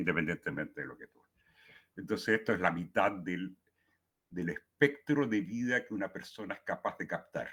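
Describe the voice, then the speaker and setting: Bright, sharp tone from a man, pitch varying in an ordinary way. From Chile. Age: 70s. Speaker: poet. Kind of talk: talk at a writing workshop. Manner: halting, many fillers and repetitions.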